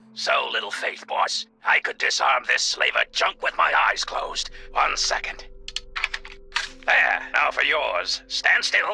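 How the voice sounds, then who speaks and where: A man puts on a raspy character voice at a fairly slow pace. Music plays in the background. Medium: video game. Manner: dry, unflappable, hard-boiled.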